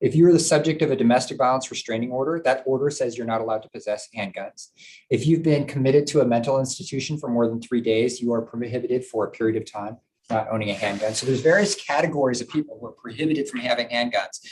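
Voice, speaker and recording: Very fast speech from a man with a medium pitch. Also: ordinary pitch variation. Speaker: prosecutor giving a presentation. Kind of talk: presentation to a board meeting. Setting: live-streamed public meeting.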